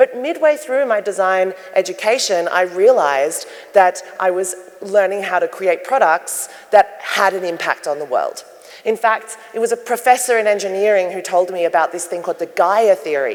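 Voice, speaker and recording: With an Australian accent, a woman speaks at a medium pitch and moderate pace with lively intonation over noticeable background noise. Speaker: sustainability designer and keynote speaker. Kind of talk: keynote talk. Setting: stage with audience. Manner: loud.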